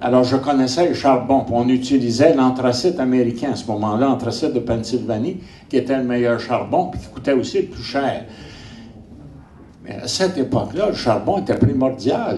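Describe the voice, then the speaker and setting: A man with a medium pitch talks at a moderate pace with big swings in loudness and audible room echo. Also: ordinary pitch variation. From Quebec, Montreal (Saint-Henri). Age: 80s+. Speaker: geographer and army veteran lecturer. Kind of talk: lecture. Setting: conference with audience. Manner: animated.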